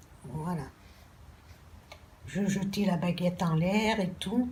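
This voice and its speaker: Audible room echo surrounds a woman speaking at a very slow pace. Her pitch is medium and her intonation fairly even. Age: 60s. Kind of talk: personal testimony.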